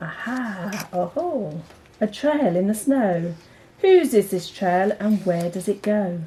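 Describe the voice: Speaking slowly, a woman has a dark, mellow tone at a medium pitch. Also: lively intonation.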